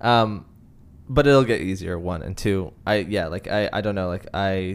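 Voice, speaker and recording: A man's fairly low voice with a Canadian accent and ordinary pitch variation. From Canada, Greater Toronto Area. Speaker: podcast host. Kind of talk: casual chat. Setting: studio.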